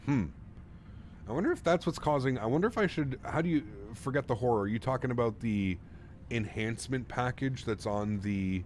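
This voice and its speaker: A man with a Canadian accent has an unremarkable speaking voice. He talks at a fairly quick pace with lively intonation. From Canada. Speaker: flight sim streamer. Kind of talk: live stream chat. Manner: casual, upbeat.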